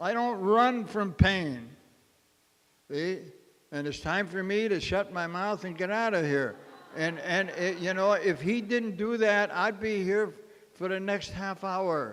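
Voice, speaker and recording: Delivered at a fairly slow pace, this high-pitched man's speech shows ordinary pitch variation. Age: 80s+. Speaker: recovery meeting speaker. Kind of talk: testimony.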